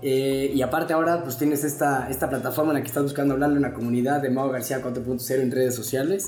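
Amid noticeable background noise and audible room echo, a man at medium pitch races along at a very fast pace with hardly any pauses and fairly even intonation. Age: 30s. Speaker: podcast host. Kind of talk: casual interview. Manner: halting, with many fillers.

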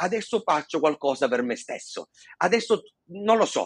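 A man speaks at a moderate pace in a passionate tone, the sound dry and close with no echo. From Sicily. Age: 40s. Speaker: stuttering therapy center founder, stutterer. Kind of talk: casual interview. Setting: video call. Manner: fluent, passionate, occasional hesitations.

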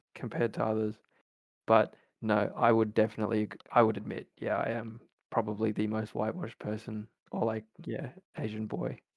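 A man with an Australian accent speaks fairly quickly in a fairly low pitch, his intonation fairly even and his pauses long and frequent. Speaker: university student. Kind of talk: casual chat.

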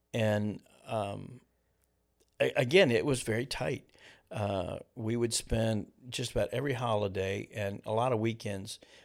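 A man at a medium pitch speaks at a fairly slow pace with ordinary pitch variation and long, frequent pauses, in a very clean recording with a silent background. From eastern Kentucky (Ashland), moved to Ohio as a child. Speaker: pastor. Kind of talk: casual interview.

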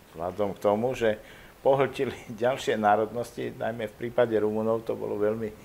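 Flat, monotone intonation from a male speaker at a moderate speed. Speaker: historian. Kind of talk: interview.

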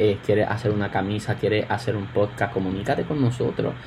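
Noticeable background noise sits under the recording. A man speaks in a fairly low pitch with ordinary variation. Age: 20s. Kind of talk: casual chat. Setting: remote recording.

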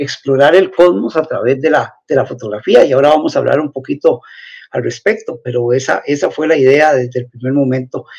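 A man speaking at a moderate pace. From Costa Rica, Turrialba. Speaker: astrophotographer. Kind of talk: interview. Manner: halting.

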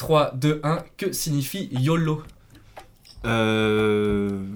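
A man with a fairly high pitch, an animated, playful tone and lively intonation, broken up by long, frequent pauses. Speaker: podcast host and quiz master. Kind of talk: casual quiz show chat. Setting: studio. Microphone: new microphone, possible technical glitches.

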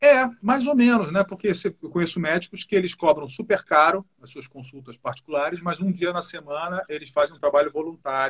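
Pitched high, this man's voice has lively intonation and big swings in loudness. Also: moderate pace, dry, close sound with no echo. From Rio de Janeiro, Brazil. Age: 60s. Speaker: musician and music producer. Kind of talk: casual chat.

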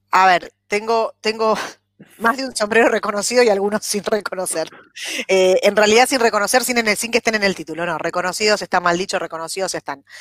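With an ordinary speaking voice, a woman speaks at a fairly quick pace and medium pitch with ordinary pitch variation, the sound dry and close with no echo. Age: 40s. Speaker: human resources director. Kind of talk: interview.

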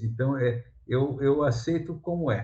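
Somewhat breathy, a man speaks at medium pitch. His pitch varies in an ordinary way. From São Paulo coast, Brazil (São Vicente). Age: 50s. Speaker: comics artist and illustrator. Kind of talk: casual interview chat. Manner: halting, repeats words.

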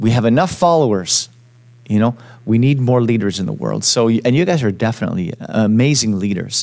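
This man has a normal speaking voice and a Canadian accent at a medium pitch. He talks at a fairly quick pace with lively intonation. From Quebec, Montreal. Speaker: podcast host. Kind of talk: casual interview. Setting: studio.

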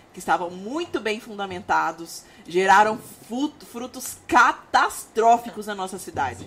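A woman talks at a fairly slow pace, her fairly high voice swinging very widely in pitch. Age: 30s. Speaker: podcast host, church minister. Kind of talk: casual chat.

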